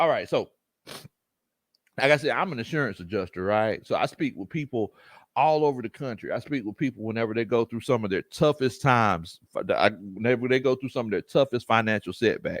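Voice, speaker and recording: A man with a strong Southern US accent speaks in an animated tone at a fairly quick pace, his medium pitch showing ordinary variation. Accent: thick Southern. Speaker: sports podcast host, former football coach. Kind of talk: casual livestream chat. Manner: animated, repetitive.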